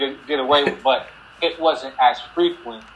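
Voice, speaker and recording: Amid noticeable background noise, a man with an American accent speaks in a fairly high pitch with monotone, flat intonation. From New Jersey, Paterson. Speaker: former NFL football player. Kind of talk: casual interview. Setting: video call. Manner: casual, filler-heavy.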